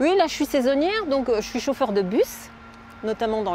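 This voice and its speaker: A woman speaks at a fairly slow pace, her pitch swinging very widely. Noticeable background noise runs underneath. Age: 60s. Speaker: van dweller, seasonal bus driver. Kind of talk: interview. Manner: hesitant, with many fillers.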